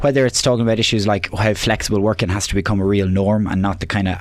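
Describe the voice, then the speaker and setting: A man with an Irish accent talks at a very fast pace in a fairly low voice with fairly even intonation. Noticeable background noise is present. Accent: Irish (Louth). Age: 20s. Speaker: election candidate, local councillor. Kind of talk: radio debate. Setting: radio studio.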